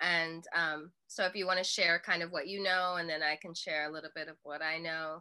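A woman's fairly low-pitched, bright, sharp voice at a fairly quick pace, with monotone, flat intonation, hardly any pauses and a quiet background. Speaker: YouTube channel host. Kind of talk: casual interview. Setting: video call. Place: home room. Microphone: webcam.

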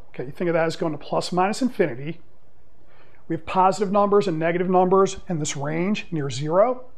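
A man speaks with a high voice for his sex. His pace is fairly quick, and his pitch varies in an ordinary way. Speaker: math teacher. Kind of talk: lecture. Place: classroom.

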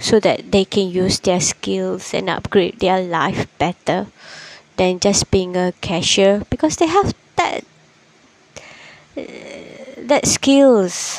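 With a non-native accent, a woman speaks at a very slow pace with lively intonation and long, frequent pauses amid noticeable background noise. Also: medium pitch for a woman. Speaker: podcaster. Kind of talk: casual podcast monologue. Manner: slow, many pauses.

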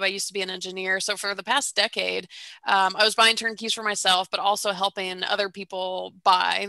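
Her bright, sharp tone comes at a moderate pace, dry with no echo over a quiet background. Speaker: guest. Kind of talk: interview answer. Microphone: headset.

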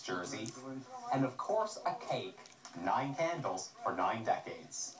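Noticeable background noise sits behind a man. He speaks at a fairly slow pace. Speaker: TV news reporter. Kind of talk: TV news report.

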